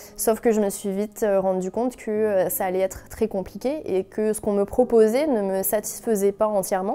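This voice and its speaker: A woman with a dark, mellow tone at a moderate pace, with fairly even intonation and hardly any pauses. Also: medium pitch for a woman. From France. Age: 20s. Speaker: wine and sake consultant, entrepreneur. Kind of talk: interview testimony. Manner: hesitant, many fillers.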